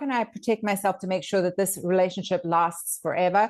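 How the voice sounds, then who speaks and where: An ordinary speaking voice moves at a fairly quick pace with ordinary pitch variation over a quiet background. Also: woman. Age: 50s. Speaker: dating coach and channel host. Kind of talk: casual chat.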